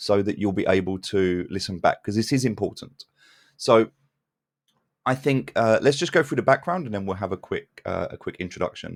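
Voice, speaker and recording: On a very clean recording with a silent background, a man talks with lively intonation. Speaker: community call host for a crypto game project. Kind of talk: community call discussion. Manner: usually talks fast.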